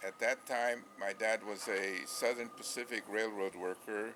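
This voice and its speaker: Monotone, flat intonation in an American accent over noticeable background noise. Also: man. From US Midwest, Gary, Indiana. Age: 90s. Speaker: scientist and newspaper publisher. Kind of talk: oral history interview. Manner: halting, with fillers.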